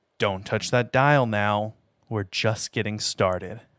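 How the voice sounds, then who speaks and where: Using a put-on character voice, a man talks at a fairly low pitch. He keeps to a fairly slow pace. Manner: creepy.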